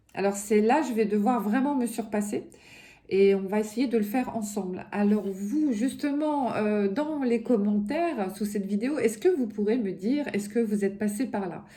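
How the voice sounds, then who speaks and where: A woman speaks in a normal speaking voice. It is fairly high in pitch with ordinary pitch variation. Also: moderate pace. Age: 50s. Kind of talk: casual talk to camera.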